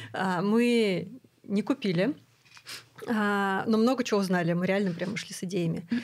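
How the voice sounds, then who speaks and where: A woman at a moderate pace, with ordinary pitch variation and long, frequent pauses. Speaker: podcast host and clinic founder; podcast host. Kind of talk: casual chat. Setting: studio. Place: studio. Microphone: studio mic.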